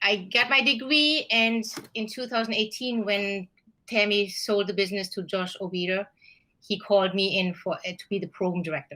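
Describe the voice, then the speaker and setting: A woman's bright, sharp voice with a German accent, medium pitch, ordinary pitch variation and a moderate pace, in a very clean recording against a silent background. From Germany. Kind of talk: interview.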